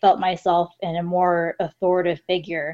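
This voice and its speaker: A woman with an ordinary speaking voice talks at medium pitch and a moderate pace. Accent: American. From Los Angeles, California. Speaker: guest, English teaching assistant in Japan. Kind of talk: casual chat.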